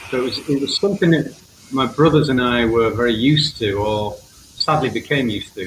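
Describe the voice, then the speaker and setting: A man's medium-pitched voice at a fairly quick pace, with ordinary pitch variation over noticeable background noise. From England. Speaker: mental health writer and podcaster. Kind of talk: interview, personal testimony.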